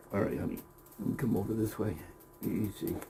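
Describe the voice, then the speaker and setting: This man is soft-spoken. His pitch is fairly low. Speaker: rabbit breeder. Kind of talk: casual tutorial vlog. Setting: outdoors by rabbit cages. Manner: louder than usual.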